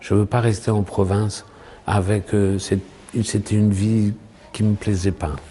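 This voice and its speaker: A man's very slow, somewhat breathy speech, fairly low in pitch, dark and mellow in tone, with monotone, flat intonation. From French provinces. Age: 60s. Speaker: actor and poet. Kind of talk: interview. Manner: halting.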